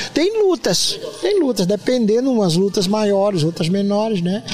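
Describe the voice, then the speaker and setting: A man speaks at a fairly slow pace in a high voice, with lively intonation. Noticeable background noise runs underneath. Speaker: missionary and mission founder. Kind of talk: casual interview chat. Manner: animated, laughing.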